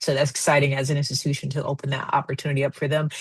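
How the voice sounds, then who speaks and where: Somewhat breathy, a woman with an American accent speaks at a very deep, low pitch. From Rochester, New York. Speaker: admissions officer. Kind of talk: webinar presentation.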